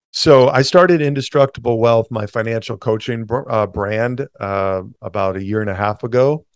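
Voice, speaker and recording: With a normal speaking voice and hardly any pauses, a man at a medium pitch talks at a moderate pace with ordinary pitch variation, in a dry, close sound with no echo and a quiet background. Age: 40s. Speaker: entrepreneur and financial coach. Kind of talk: interview.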